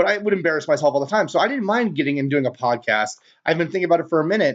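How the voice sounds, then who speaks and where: A man with an American accent, fairly high in pitch, talking at a very fast pace with lively intonation. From California, San Jose. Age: 30s. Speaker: podcast host. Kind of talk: casual podcast monologue. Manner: loud; casual, filler-heavy.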